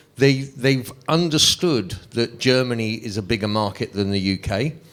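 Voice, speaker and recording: A man speaks with a London accent. His medium pitch shows ordinary variation. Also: moderate pace. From London, England. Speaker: music manager. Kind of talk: panel discussion.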